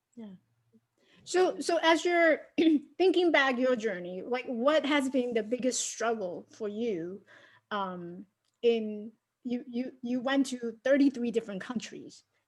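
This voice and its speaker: Her high-pitched voice rises and falls with lively intonation. The woman talks at a fairly slow pace, leaving long, frequent pauses. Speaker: podcast interviewer. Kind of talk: casual interview questions.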